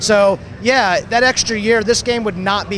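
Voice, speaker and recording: A man speaks at a moderate pace. Noticeable noise can be heard behind him. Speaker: video game developer. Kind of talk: interview answer.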